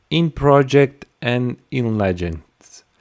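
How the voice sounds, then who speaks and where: The speaker is a man with a medium pitch. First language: not English. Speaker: software tutorial creator. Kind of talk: tutorial. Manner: halting, many fillers.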